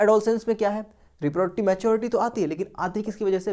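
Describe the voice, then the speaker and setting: The man's voice has a dark, mellow tone. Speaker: science teacher. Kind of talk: lecture. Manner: animated.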